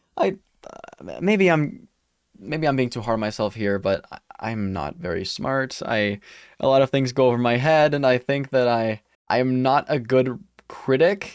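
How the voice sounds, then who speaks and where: A medium-pitched male voice with lively intonation, on a very clean recording with a silent background. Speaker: YouTuber discussing anime. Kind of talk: casual vlog monologue. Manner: halting, repeats words; fast.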